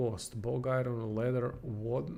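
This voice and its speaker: A man speaks in a dark, mellow tone at a medium pitch. His voice is somewhat breathy, and the pace is very slow. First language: not English. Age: 30s. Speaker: game streamer and reviewer. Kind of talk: livestream gameplay commentary. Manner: halting.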